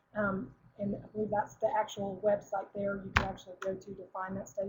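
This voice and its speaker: At a fairly quick pace, a woman speaks with a medium pitch in a monotone, flat intonation. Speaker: product representative giving a presentation. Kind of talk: webinar presentation. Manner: fast; halting, many fillers.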